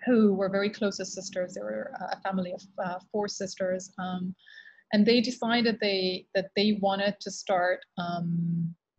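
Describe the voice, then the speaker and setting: A somewhat breathy woman talks at a fairly slow pace against a quiet background. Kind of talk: interview answer. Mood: reflective, relaxed storytelling. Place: office. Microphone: video call.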